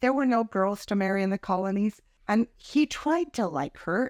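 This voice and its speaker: A woman with an American accent talks at a moderate pace in an unremarkable speaking voice, with ordinary pitch variation, a dry, close sound with no echo, and a very clean recording over a silent background. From Idaho, USA. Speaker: grandmother. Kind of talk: personal life-story interview answer.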